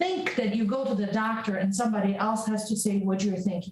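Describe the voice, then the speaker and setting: This speaker has a Polish accent and fairly even intonation. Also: woman. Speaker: prescribing psychologist. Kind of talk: interview.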